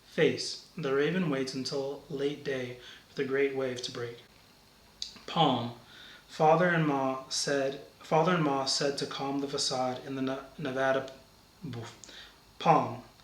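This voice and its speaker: A man at a fairly high pitch, fairly slow and with long, frequent pauses, fairly even in intonation, over noticeable background noise. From Brooklyn, New York. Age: 30s. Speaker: university campus minister. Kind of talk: reading accent word list sentences.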